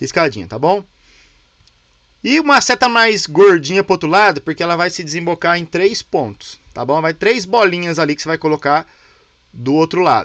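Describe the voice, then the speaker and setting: A man's high voice with lively intonation at a moderate pace, dry and close with no echo. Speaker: teacher of a leadership course. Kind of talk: online class tutorial. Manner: casual, informal.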